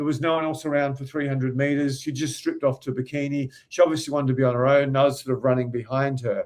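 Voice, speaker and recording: In an Australian accent, a man talks at a very fast pace with hardly any pauses, his fairly high voice flat and monotone. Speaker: dating coach. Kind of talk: casual storytelling.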